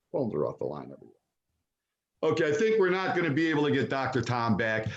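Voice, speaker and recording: A man talks at a very fast pace with an animated tone. His fairly high voice swings very widely in pitch. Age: 70s. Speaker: forum organizer, businessman. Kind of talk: closing remarks at online forum.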